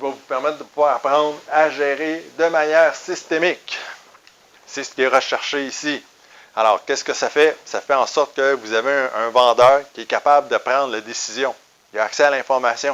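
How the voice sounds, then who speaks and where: Fairly high in pitch, a man with a Quebec accent speaks at a moderate pace with fairly even intonation. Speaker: business trainer. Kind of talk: sales pitch. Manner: hesitant fillers.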